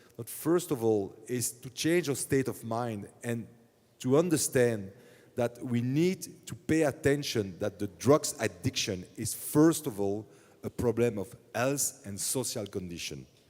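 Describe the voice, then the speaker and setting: Slow-paced and lively in intonation, a man with a Belgian accent talks at a medium pitch. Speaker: city politician. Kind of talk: panel discussion.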